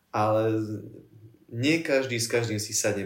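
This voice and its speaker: With a medium pitch and fairly even intonation, a man speaks amid audible room echo. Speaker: podcast host, student. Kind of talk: casual chat.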